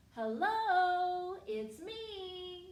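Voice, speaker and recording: Pitched extremely high, this voice is a put-on character voice. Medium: read story.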